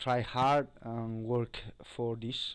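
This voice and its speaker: Against a quiet background, a man of medium pitch speaks at a very slow pace. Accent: non-native. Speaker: cybersecurity tutorial creator. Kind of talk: tutorial. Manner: halting, many fillers.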